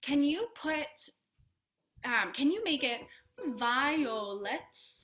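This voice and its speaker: Using a bright, sharp tone and an American accent, a high-pitched woman speaks at a very slow pace with long, frequent pauses and very wide pitch swings. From US South. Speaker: voice teacher. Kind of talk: voice lesson.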